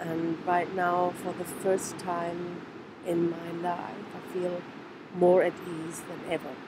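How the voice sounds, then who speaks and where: With a German accent, a woman speaks very slowly in a fairly low, flat monotone against noticeable background noise. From Germany. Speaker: trauma therapist. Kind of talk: personal video message.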